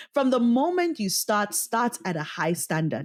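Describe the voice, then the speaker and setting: On a very clean recording with a silent background, a woman in a South African accent speaks at a fairly slow pace in a fairly high pitch. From Cameroon. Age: 20s. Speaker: voice actor. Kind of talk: interview answer.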